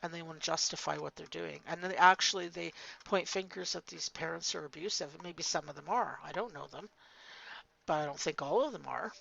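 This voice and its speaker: A woman talks at a fairly quick pace. Her loudness swings a lot. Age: 50s. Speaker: faceless commentary YouTuber. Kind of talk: casual monologue vlog. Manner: hesitant, with fillers and restarts.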